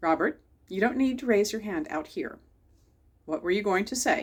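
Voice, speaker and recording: A woman at medium pitch performs a put-on character voice at a moderate pace. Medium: read story. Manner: stern, loud.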